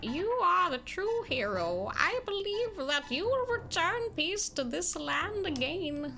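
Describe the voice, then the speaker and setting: A put-on character voice moves at a fairly slow pace with hardly any pauses. Background noise is clearly present. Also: woman. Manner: lazy, drawn out.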